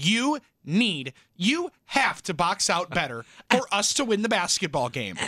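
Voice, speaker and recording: Raising and projecting his high-pitched voice, a man speaks at a fairly slow pace with very wide pitch swings. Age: 20s. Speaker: sports radio host. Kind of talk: casual chat.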